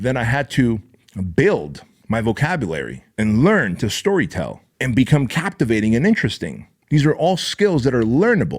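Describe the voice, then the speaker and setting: This man sounds animated, with very wide pitch swings and some vocal fry. He talks at a moderate pace. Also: medium pitch for a man. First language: not English. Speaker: entrepreneur and podcast host. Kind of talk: motivational podcast talk. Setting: podcast.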